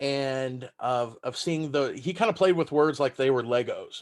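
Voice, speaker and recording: Fairly slow speech comes from a man with a fairly high pitch. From Texas, San Antonio. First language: German. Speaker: stand-up comedian. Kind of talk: casual interview chat. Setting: video call.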